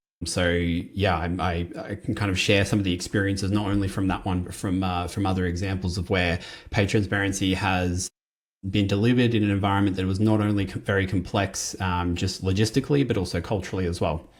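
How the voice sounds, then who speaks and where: Recorded very cleanly against a silent background, a man with an Australian accent talks at a fairly quick pace in a very deep, low pitch, somewhat breathy and with fairly even intonation. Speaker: compensation consultant. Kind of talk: conference presentation. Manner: casual and conversational.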